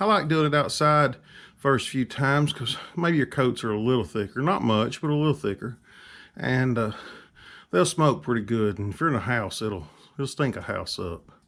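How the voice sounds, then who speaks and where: In a very clean recording against a silent background, a man talks with a Southern US accent. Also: medium pitch for a man. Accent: Southern US drawl. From Alabama. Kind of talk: casual talk to camera.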